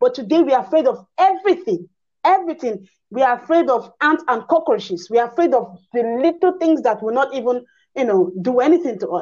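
Against a quiet background, a woman talks at a fairly quick pace in a high voice with very wide pitch swings. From Nigeria. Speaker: online show host on African spirituality. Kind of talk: interview conversation.

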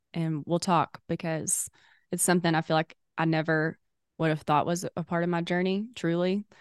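Over a quiet background, a woman with a Southern US accent speaks at a moderate pace in a fairly low pitch and a monotone, flat intonation, the sound dry and close with no echo. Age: 20s. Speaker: podcast co-host. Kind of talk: casual chat.

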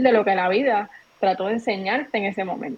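A woman's ordinary speaking voice, with ordinary pitch variation, at a moderate pace. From Puerto Rico, Trujillo Alto. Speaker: entrepreneur and content creator. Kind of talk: casual interview chat.

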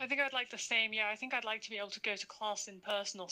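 A woman talks at a very fast pace. Her tone is bright and sharp. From London. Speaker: university student. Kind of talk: casual chat.

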